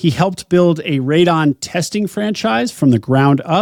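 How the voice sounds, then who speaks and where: With an unremarkable speaking voice, a man talks slowly at a fairly high pitch with lively intonation, in a dry, close sound with no echo. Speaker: podcast host. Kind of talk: podcast intro.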